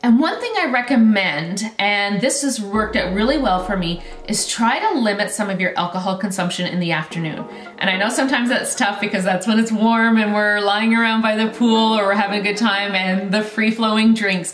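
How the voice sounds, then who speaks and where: A woman at a fairly quick pace with hardly any pauses and ordinary pitch variation, audible room echo, and faint music in the background. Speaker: wellness coach. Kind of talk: tips vlog talk to camera. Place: home room.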